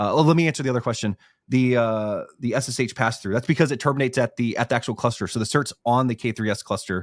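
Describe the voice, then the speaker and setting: At a very fast pace, a man talks at a medium pitch with ordinary pitch variation, the sound dry and close with no echo. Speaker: livestream host. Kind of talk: live webinar Q&A.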